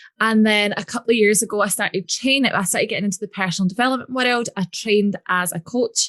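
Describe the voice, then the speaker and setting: Ordinary pitch variation in a Scottish accent, with a dry, close sound with no echo and a quiet background. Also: woman. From Scotland. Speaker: business coach. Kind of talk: podcast interview. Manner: casual.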